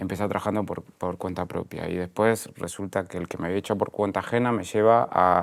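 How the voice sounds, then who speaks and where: A man with fairly low pitch and fairly even intonation comes through on a very clean recording with a silent background. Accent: Argentine. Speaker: entrepreneur, media executive. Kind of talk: interview conversation. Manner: halting, many repetitions and fillers.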